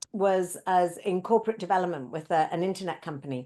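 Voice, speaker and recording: A woman speaks with an English accent against a quiet background. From UK. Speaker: speaker, facilitator and coach. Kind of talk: interview.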